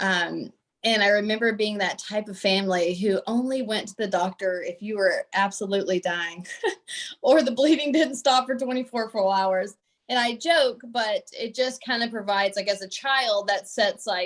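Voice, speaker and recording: A woman speaks at a moderate pace in a fairly high pitch with ordinary pitch variation. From Southeast Texas, rural. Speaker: pediatric oncology fellow, physician. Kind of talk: panel self-introduction.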